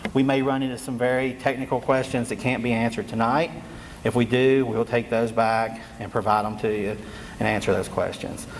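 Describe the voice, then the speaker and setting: With a Southwest Virginia accent, a man keeps a moderate pace over noticeable background noise. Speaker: state energy official. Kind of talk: public meeting presentation. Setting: community meeting room with audience. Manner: halting.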